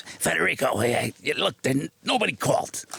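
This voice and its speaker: At a moderate pace, a man does a raspy, put-on character voice at a medium pitch. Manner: irritated.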